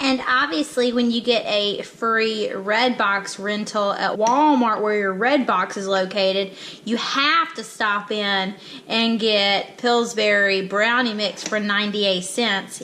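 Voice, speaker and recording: Over noticeable background noise, a woman talks at a very slow pace, her fairly high voice showing ordinary pitch variation. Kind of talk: casual talk to camera.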